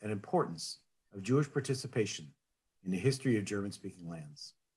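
This man talks at a fairly quick pace with lively intonation. His voice is somewhat breathy. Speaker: conference host. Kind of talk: formal welcome speech. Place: home room. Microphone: webcam.

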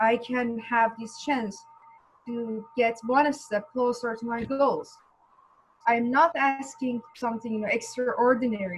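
A woman's high voice at a fairly slow pace, with fairly even intonation. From Iran. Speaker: graduate and petition organizer. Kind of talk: testimony. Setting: video call. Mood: earnest, pleading. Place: home room. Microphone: headset.

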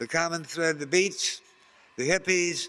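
At a fairly slow pace, a man speaks in a high, bright, sharp voice with fairly even intonation. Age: 70s. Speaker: counterculture activist and radio host; radio host. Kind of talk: interview. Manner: rambling, halting. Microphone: handheld.

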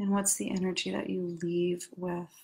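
A somewhat breathy woman at a fairly slow pace, with a quiet background. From New York City. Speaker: life coach. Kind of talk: guided meditation; coaching talk. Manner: halting. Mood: calm, soothing. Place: home room. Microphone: webcam.

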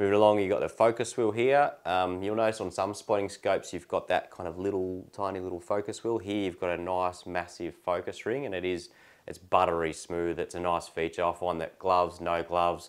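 Against a quiet background, a man with a very deep, low pitch speaks at a fairly quick pace with fairly even intonation and hardly any pauses. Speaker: product reviewer. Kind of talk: casual product review. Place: home room.

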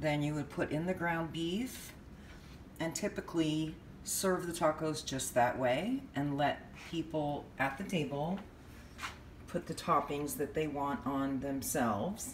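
At a fairly slow pace, a woman with an American accent speaks in a very deep, low pitch with ordinary pitch variation, amid audible room echo and light background noise. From California. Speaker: home cook vlogger. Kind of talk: cooking tutorial; tutorial. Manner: casual, halting with frequent fillers. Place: kitchen. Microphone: phone near.

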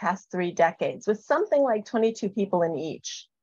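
A woman with a plain, everyday voice and fairly high pitch talks at a moderate pace, the sound dry with no echo over a quiet background. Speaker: spiritual program leader; presenter. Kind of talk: panel presentation. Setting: video call. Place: home room. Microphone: webcam.

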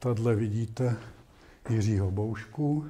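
Somewhat breathy and dark, mellow in tone, a man talks at a fairly slow pace with fairly low pitch. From Czech Republic. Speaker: astronomer; invited lecturer. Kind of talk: lecture. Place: classroom.

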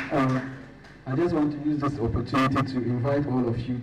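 Against noticeable background noise, a man speaks at a moderate pace and medium pitch with monotone, flat intonation. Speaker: student leader and climate activist. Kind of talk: announcements at a conference. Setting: stage with audience.

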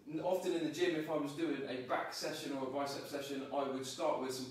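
A man speaks over noticeable background noise in a room with strong echo. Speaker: fitness trainer. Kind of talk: tutorial. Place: home room. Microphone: camera far.

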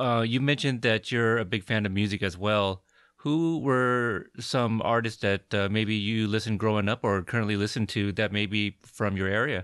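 Speaking at a moderate pace with hardly any pauses, a man uses a normal speaking voice, fairly low in pitch, with ordinary pitch variation and very even loudness on a very clean recording with a silent background. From Portland, Oregon. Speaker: podcast host, army veteran. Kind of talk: casual interview.

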